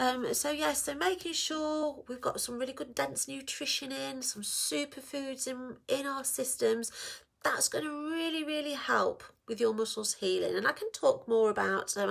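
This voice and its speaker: In a very clean recording with a silent background, a woman speaks. She has an English accent and keeps a moderate pace. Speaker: women's health practitioner. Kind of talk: casual informational talk to camera. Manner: plain, conversational.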